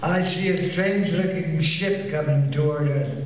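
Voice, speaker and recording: Very slowly, a man speaks with a high pitch and fairly even intonation. There is audible room echo and light background noise. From United States. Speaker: stage magician and film actor. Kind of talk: interview answer. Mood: warm, amused storytelling. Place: hall.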